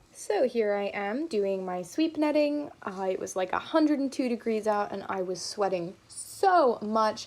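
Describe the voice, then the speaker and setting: With an American accent, a woman speaks at a fairly slow pace and fairly high pitch, with lively intonation and hardly any pauses. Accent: switches between British and American. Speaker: entomology video host. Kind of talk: educational vlog narration. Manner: casual.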